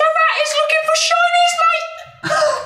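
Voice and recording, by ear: With faint music in the background, a put-on character voice of extremely high pitch moves at a fairly slow pace through very wide pitch swings.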